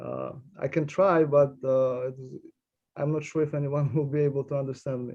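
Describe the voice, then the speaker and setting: A man with a Russian accent and a fairly high pitch, at a moderate pace, with big swings in loudness and monotone, flat intonation. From Uzbekistan (Tashkent). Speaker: immigration attorney. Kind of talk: panel discussion. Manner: halting, many fillers.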